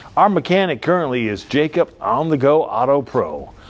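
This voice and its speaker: A man's lively intonation comes through despite noticeable background noise. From not from the South; moved to Alabama. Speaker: car dealer. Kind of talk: comedic sales pitch. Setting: on the car lot, live. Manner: rambling, jokey and animated.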